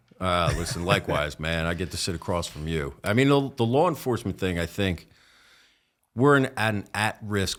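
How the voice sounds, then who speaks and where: This man talks at a moderate pace with a slight New Jersey accent and lively intonation. The recording is very clean, the background silent. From northern New Jersey, Essex County. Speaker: police officer. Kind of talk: podcast interview.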